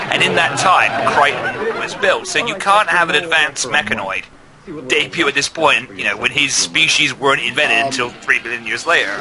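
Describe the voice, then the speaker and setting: There is noticeable background noise as a man talks in an English accent. He speaks at a fairly quick pace with a fairly high pitch. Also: lively intonation. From England. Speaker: gaming channel host. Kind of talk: casual commentary over a video.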